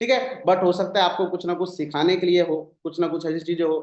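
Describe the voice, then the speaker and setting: This is a man's voice. It sits at a high pitch. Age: 20s. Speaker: network marketing team leader. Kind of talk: motivational talk on a zoom meeting. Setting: video call. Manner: animated.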